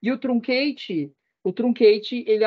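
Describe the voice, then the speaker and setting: A woman speaks with ordinary pitch variation. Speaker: database and BI instructor. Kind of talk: online class lecture. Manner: fast.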